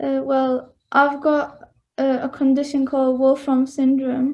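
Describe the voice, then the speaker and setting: This woman speaks with a Mancunian accent at a high pitch. Her intonation is monotone and flat. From northern England, Bury near Manchester. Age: 20s. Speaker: interviewee sharing personal experience. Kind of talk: interview. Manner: halting, many fillers.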